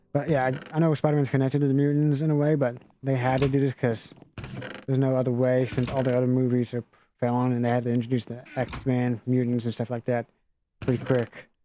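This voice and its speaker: At a very fast pace, a man speaks with a medium pitch and monotone, flat intonation. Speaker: YouTuber reviewing a movie. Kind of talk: casual unscripted review over gameplay. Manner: halting, repeats himself; unscripted, self-correcting.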